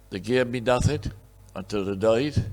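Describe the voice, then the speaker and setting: A man with fairly even intonation, music in the background. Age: 80s+. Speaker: honorary award recipient, businessman. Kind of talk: acceptance speech. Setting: awards dinner.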